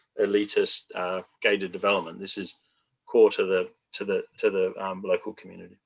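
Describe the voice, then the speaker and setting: A man talks with an Australian accent. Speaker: retirement community developer. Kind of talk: panel discussion.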